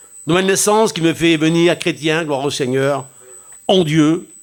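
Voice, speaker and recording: The man talks at a moderate pace. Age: 60s. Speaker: pastor. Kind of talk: sermon. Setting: church.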